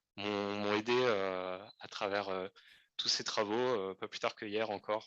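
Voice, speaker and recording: The recording is dry and close with no echo as a man with a fairly low pitch talks at a fairly slow pace. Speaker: PhD candidate. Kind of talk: thank-you speech. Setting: lecture theater with audience. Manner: hesitant, many fillers.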